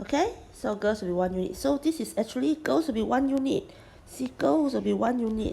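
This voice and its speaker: Vocal fry runs through this fairly quick delivery, with very wide pitch swings. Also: woman. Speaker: math tutor. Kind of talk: tutorial.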